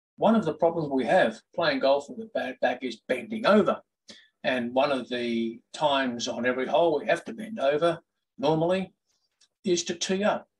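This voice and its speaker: Speaking at a moderate pace, a man uses a normal speaking voice that sits fairly high in pitch. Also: lively intonation. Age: 60s. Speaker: golf vlogger. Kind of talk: product review. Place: home room. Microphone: webcam.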